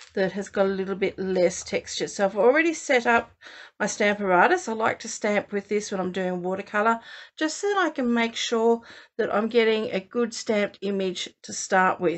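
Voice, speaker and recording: There is a quiet background. Against it, a woman talks with ordinary pitch variation. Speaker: card maker demonstrating. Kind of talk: tutorial.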